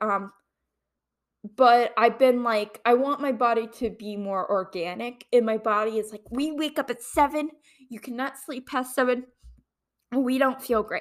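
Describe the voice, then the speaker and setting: In a very clean recording with a silent background, a woman with an American accent speaks at a moderate pace in a high voice. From Ohio. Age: 20s. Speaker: podcast host, grad student. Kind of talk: casual solo monologue. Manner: rambling with many fillers.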